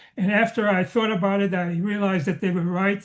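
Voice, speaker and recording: A man with a slight Slovak accent, at a moderate pace, with fairly even intonation and a quiet background. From Slovakia. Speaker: Holocaust survivor. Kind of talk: testimony. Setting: video call. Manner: halting, many fillers.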